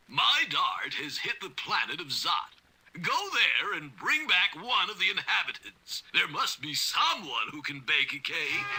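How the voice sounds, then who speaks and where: A man does a cartoonish character voice pitched high. He speaks at a moderate pace. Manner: imperious, shouting.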